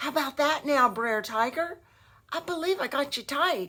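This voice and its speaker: A woman speaks in a put-on character voice. Her pitch is high, and her pace is moderate. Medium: read story. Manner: sly, folksy.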